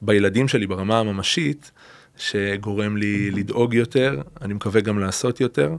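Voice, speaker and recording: Fairly low-pitched, this man talks at a moderate pace with fairly even intonation. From Israel, Beersheba (Negev). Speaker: educator. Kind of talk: conversational dialogue. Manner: halting.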